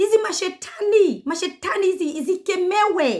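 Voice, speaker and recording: A woman with a Kenyan accent speaks at an extremely high pitch. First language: Kikuyu. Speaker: YouTuber. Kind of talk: commentary vlog. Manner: animated.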